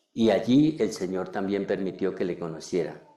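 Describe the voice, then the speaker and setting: A man's very deep, low voice carries a dark, mellow tone at a fairly slow pace. The room adds an audible echo. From Colombia, Cundinamarca. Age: 70s. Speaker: preacher. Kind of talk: sermon.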